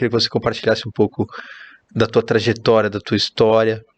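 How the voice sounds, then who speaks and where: A man with a Brazilian accent speaks at a medium pitch in a dry, close sound with no echo. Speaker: podcast host, real estate network manager. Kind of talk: podcast interview.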